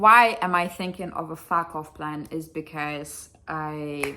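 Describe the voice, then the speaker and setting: A woman talks at a very slow pace with a bright, sharp tone. Her loudness swings widely. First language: Russian. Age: 20s. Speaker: vlogger. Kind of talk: casual vlog. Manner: animated.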